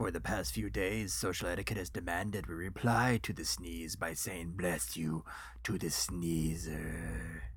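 A man's put-on character voice with a very deep, low pitch at a moderate pace, amid noticeable background noise. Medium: audio drama. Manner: uncanny.

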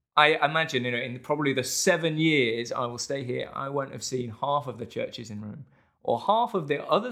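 This man's voice sits fairly high, with a bright, sharp tone. His pitch variation is ordinary and his pace moderate. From England. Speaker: student living in Rome. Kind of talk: casual interview conversation. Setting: in person in Rome.

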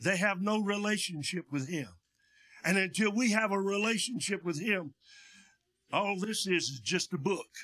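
With an East Tennessee accent, a man projects his raised voice in a bright, sharp tone at a high pitch, moving at a moderate pace with ordinary pitch variation and long, frequent pauses. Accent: Southern US (East Tennessee). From East Tennessee, Union County. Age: 70s. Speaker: pastor, missionary. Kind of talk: sermon. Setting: church with PA system. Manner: loud.

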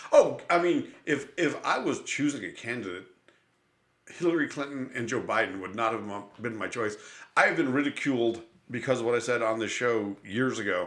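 Here is a man with an American accent, a medium pitch and an ordinary speaking voice. He keeps a moderate pace with ordinary pitch variation. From Buffalo, New York. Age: 50s. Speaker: podcast host and comedian. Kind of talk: casual chat. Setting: studio.

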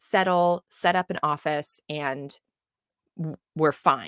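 An unremarkable speaking voice, recorded very cleanly against a silent background. The sound is dry and close, with no echo. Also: woman. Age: young. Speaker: life coach. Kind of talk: casual interview chat.

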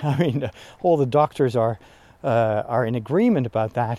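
A man with a Dutch accent speaks in a dark, mellow tone with lively intonation, the sound dry and close with no echo. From Netherlands. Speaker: priest. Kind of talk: casual monologue. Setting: outdoors. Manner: animated; pitch rises when excited.

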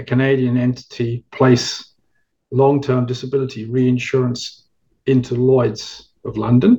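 Somewhat breathy and fairly slow, a man with a British accent speaks at medium pitch. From England. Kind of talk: interview.

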